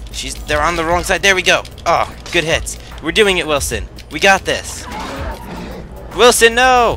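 Against music in the background, a man speaks at a fairly slow pace with long, frequent pauses. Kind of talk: casual gameplay commentary. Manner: casual, rambling.

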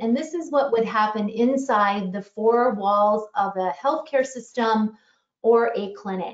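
A woman with a fairly high pitch, an ordinary speaking voice and ordinary pitch variation. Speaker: tech executive and clinician. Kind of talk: webinar presentation. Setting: online webinar.

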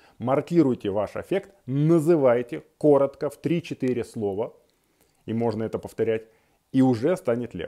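Against a quiet background, a man with a dark, mellow tone speaks at a fairly slow pace with ordinary pitch variation, big swings in loudness, and long, frequent pauses. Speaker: psychologist; guest. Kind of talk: self-help tutorial. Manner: calm, measured. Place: home room. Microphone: earbuds.

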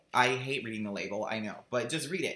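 Audible room echo surrounds a man speaking at a medium pitch with ordinary pitch variation. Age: 30s. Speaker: vlogger; video journal blogger. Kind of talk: video diary. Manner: chatty, rambling with fillers. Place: home room. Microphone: webcam.

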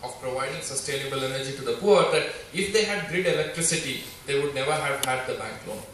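A man's voice at a moderate pace, with audible room echo and light background noise. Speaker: speaker. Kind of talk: inspirational talk. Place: hall.

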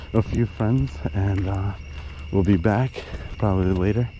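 Recorded dry with no echo but with noticeable background noise, a man speaks fairly slowly at a very deep, low pitch. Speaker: vlogger exploring. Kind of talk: casual vlog chat. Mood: cautious, slightly nervous. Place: open country. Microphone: phone near.

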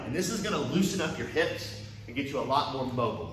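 Lively intonation at a fairly quick pace, with audible room echo and light background noise. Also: man. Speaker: karate instructor. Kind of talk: live class coaching instructions. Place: gym. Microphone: earbuds.

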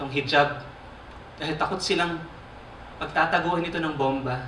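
Pausing often and at length, a man speaks with fairly even intonation in a room with audible echo and light background noise. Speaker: spoken word poet. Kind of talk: spoken word poetry performance. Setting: live theater stage. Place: stage.

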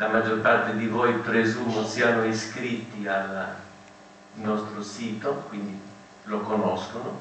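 Amid audible room echo and light background noise, a man with a fairly low voice speaks in a flat monotone at a very slow pace, with long, frequent pauses. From Marche, Italy. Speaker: conference organizer; speaker. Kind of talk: conference opening speech. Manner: formal. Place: hall. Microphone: camera far.

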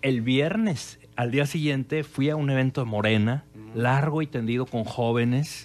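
A male speaker keeps a fairly slow pace, his pitch varying in an ordinary way. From Torreón, northern Mexico; northern Mexico. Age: 40s. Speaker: political scientist and historian; interview guest. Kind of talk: radio interview. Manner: halting, many fillers and repetitions. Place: studio. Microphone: studio mic.

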